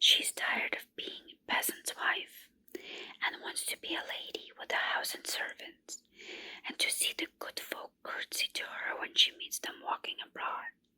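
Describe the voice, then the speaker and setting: A whispering woman at a fairly slow pace, the sound dry and close with no echo. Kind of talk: ASMR candlelight folk-tale reading. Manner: soft, whispered, calming.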